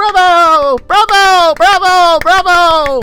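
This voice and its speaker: A put-on character voice pitched extremely high, delivered at a very slow pace. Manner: cheering.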